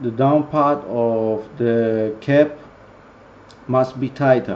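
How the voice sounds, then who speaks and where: A man with a Greek accent talks at a very slow pace. His pitch is medium. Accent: non-native English, Greek. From Greece. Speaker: vaping product reviewer. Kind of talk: tutorial. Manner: halting, many fillers.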